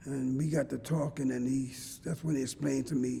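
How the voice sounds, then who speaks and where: A man at medium pitch, somewhat breathy, with monotone, flat intonation at a moderate pace. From Philadelphia, North Philly. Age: 60s. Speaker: former jailhouse informant. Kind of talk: interview testimony. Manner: halting, repeats words.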